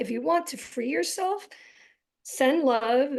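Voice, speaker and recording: A woman with vocal fry talks at a fairly slow pace with lively intonation. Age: 40s. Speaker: physician and guest speaker. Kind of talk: interview. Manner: loud.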